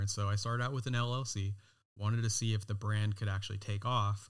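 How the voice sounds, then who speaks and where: In an American accent, a man talks at a fairly low pitch on a very clean recording with a silent background. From California. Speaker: designer and knife brand founder. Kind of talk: interview.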